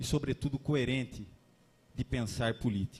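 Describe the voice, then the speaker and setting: Somewhat breathy, a man speaks in a dark, mellow tone. His pace is moderate. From Limeira, São Paulo state, Brazil. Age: 30s. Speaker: lawyer and candidate. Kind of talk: political debate speech. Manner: formal.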